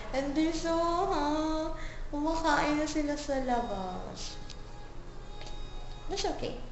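The delivery is very slow, with ordinary pitch variation and long, frequent pauses. Audible room echo and noticeable background noise fill the recording. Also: woman, high pitch for a woman. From Philippines. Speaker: vlogger. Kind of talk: casual vlog talk to camera.

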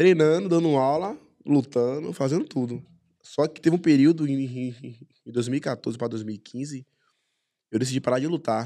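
A man with a dark, mellow tone, fairly slow pace and ordinary pitch variation, over a quiet background. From Salvador, Bahia, Brazil (Brotas); Bahia, Brazil. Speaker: MMA fighter; guest. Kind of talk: casual chat. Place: studio. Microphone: studio mic.

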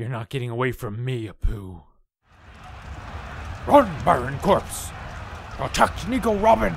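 A man uses a put-on character voice at a medium pitch. He keeps a moderate pace with long, frequent pauses. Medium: read story. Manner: analytical, cold.

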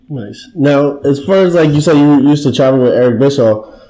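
Through noticeable background noise, a man speaks in a fairly high voice with fairly even intonation. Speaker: podcast co-host. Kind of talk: casual interview.

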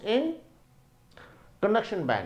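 This man's voice sits high in pitch. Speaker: teacher. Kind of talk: lecture. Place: classroom. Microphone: lapel.

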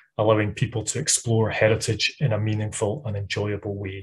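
At a moderate pace, a man speaks in a somewhat breathy voice. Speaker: webinar host introducing the speaker. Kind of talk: host introduction. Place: home room. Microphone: webcam.

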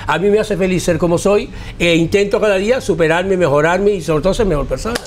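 A man's high-pitched voice at a very fast pace, with faint music in the background. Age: 60s. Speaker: hairstylist and carnival designer; interviewee. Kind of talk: interview. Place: home room. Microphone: lapel.

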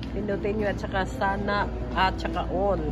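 Loud background noise runs beneath this woman's voice. She speaks at a fairly slow pace. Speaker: vlogger. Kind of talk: casual vlog chat. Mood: warm, cheerful sign-off. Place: cafe. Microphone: phone near.

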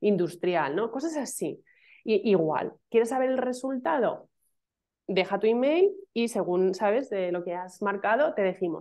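A woman speaks at a fairly slow pace with lively intonation, her fairly high voice carrying a dark, mellow tone against a quiet background. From Madrid, Spain; Spain. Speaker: email marketing specialist; interview guest. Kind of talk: casual interview chat. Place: home room. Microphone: video call.

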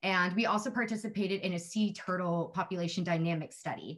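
Somewhat breathy speech in an American accent, fairly quick, with ordinary pitch variation. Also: woman. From Texas, San Antonio. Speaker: alumna, conservation communicator. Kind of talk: short introduction speech. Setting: video call. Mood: warm, grateful. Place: home room. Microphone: video call.

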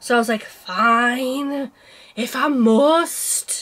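A woman speaks with a northern English accent. Her pitch is high. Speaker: cross-stitch vlogger. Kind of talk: casual chat.

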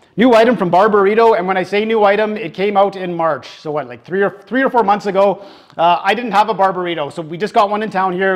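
Speaking at a very fast pace, this man has a high voice and ordinary pitch variation. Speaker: food reviewer. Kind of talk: casual review commentary. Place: home room. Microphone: lapel.

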